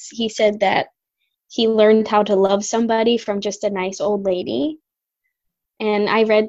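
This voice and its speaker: A woman in a normal speaking voice at a fairly slow pace. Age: 20s. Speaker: former music student. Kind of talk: casual chat.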